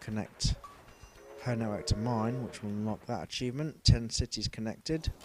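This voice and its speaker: A man speaks with a Leicester accent. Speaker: gaming commentator. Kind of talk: gameplay commentary. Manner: casual, with fillers.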